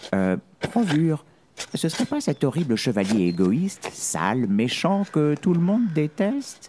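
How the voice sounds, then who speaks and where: Putting on a character voice, a man speaks at a fairly high pitch with very wide pitch swings. The voice is rumbling and the pace moderate. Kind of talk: children's audio story. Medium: read story. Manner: grumbling, sarcastic.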